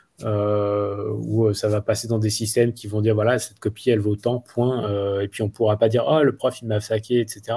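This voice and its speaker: A man's fairly low, somewhat breathy voice with a dark, mellow tone, flat monotone delivery, moderate pace and hardly any pauses. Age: 40s. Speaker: school director, former entrepreneur. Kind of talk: interview. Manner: halting.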